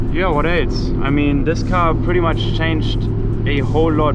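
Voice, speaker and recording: Audible room echo plus noticeable background noise. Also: man. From Germany. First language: German. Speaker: car vlogger. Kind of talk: driving vlog. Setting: in a car. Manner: casual, halting.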